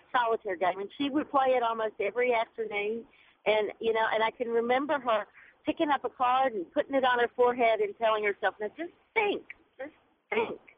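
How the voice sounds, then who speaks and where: Pitch swings very widely in this voice with a Southern US accent. The pace is moderate. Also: woman. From Mississippi. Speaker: caller. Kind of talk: call-in radio comment. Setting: phone call.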